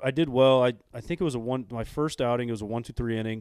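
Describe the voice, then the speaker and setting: A man with an American accent and a medium pitch. His pitch varies in an ordinary way, and he has a normal speaking voice. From Illinois. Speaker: former pro baseball player and coach. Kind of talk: casual interview chat.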